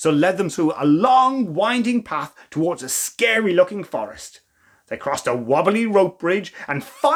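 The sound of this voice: Lively intonation in an unforced reading voice, with a quiet background.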